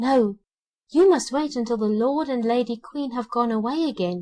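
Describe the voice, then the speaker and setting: A woman uses a put-on character voice, high-pitched and at a moderate pace. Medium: read story.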